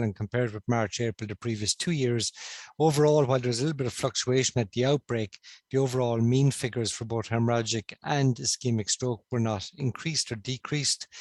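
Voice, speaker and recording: In a dry, close sound with no echo, a man speaks at a fairly quick pace with fairly even intonation. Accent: slight Cork. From Ireland, Cork. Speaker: stroke consultant. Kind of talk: conference presentation.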